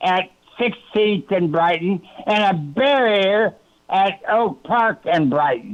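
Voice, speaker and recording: With lively intonation, a man speaks at a very slow pace. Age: 80s+. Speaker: caller, war veteran. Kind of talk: public comment. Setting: phone call.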